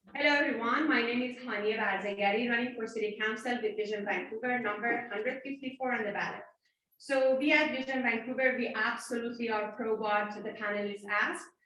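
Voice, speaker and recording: A woman at a very fast pace, fairly high in pitch, with fairly even intonation and audible room echo. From Iran. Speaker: city council candidate. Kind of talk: candidate debate answer.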